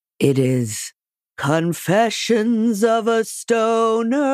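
In a very clean recording with a silent background, a put-on character voice with a fairly high pitch drawls at a very slow pace. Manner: very slow, drawling.

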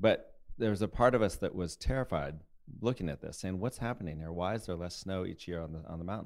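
A very deep, low male voice with an American accent, very fast pace, ordinary pitch variation and big swings in loudness. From Colorado, US. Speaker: TV documentary producer. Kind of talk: interview.

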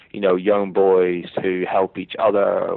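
A man with a Northern Irish accent. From Northern Ireland. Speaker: history professor and author. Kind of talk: interview about a book. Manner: measured, hesitant with fillers.

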